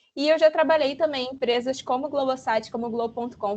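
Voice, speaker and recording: Fairly quick female speech with ordinary pitch variation. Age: 20s. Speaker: UX designer. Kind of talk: online talk presentation. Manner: animated.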